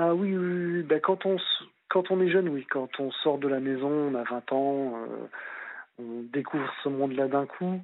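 This man has a plain, everyday voice and a fairly high pitch. He talks at a fairly slow pace with ordinary pitch variation. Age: 30s. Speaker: childminder, former gendarme. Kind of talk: phone-in chat.

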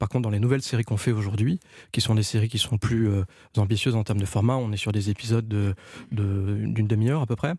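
A man speaks at a very fast pace in a fairly low, somewhat breathy voice with fairly even intonation and very even loudness. The sound is dry and close with no echo, on a very clean recording with a silent background. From Ivory Coast and France. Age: 40s. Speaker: animation producer. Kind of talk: casual chat. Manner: halting.

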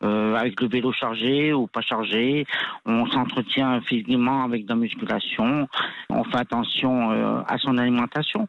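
A man speaks with a medium-pitched voice and fairly even intonation. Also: fairly slow pace. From France, Grenoble. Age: 50s. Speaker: adventure cyclist, former soldier. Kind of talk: radio interview. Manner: hesitant, many fillers.

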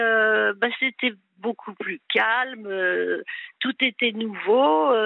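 A woman's fairly high voice at a very slow pace. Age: 80s+. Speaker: caller. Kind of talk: phone-in confession. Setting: phone call.

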